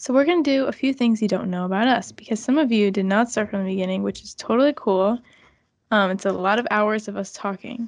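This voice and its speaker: Against a quiet background, a woman talks at a very fast pace. Her tone is animated and her pitch fairly high. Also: ordinary pitch variation. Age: 20s. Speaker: podcast co-host. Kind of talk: casual chat. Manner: giggly, animated.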